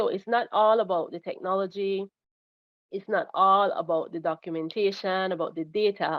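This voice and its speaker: This woman has a normal speaking voice at a medium pitch. Her pace is moderate. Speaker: government crime data coordinator. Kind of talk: webinar presentation.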